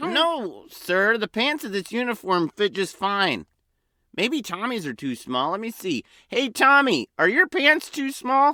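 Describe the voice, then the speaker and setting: A man uses a put-on character voice, raised and projected, high for a man, with very wide pitch swings. He goes at a fairly slow pace, and the sound is dry and close with no echo. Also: very clean recording, silent background. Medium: audio drama. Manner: nervous, bumbling.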